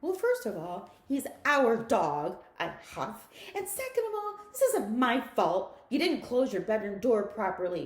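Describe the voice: What is heard is plain reading aloud.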